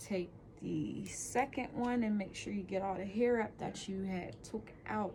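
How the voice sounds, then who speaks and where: Soft-spoken, a woman talks at a very slow pace. Her pitch is medium, with ordinary variation. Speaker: hair braiding tutor. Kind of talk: tutorial. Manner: casual, hesitant.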